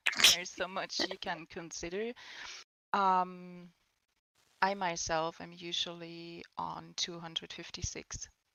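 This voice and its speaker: Very slowly and with long, frequent pauses, a woman with a non-native accent speaks in a flat monotone at a fairly low pitch, her loudness swinging widely. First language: not English. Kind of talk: panel discussion. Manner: halting.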